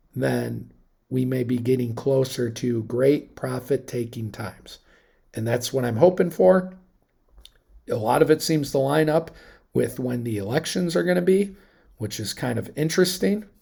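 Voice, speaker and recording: The voice is somewhat breathy, with a dark, mellow tone and lively intonation. It moves at a moderate pace with long, frequent pauses. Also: man, medium pitch for a man. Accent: American. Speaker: investing commentator. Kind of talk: market analysis monologue. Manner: rambling, hesitant.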